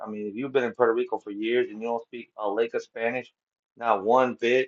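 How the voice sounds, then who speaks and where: A man with an American accent talks very fast at a medium pitch, his pitch varying in an ordinary way. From Connecticut, raised partly in New York. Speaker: live-stream reaction commentator. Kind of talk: casual live commentary. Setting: livestream. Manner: halting, many repetitions and fillers.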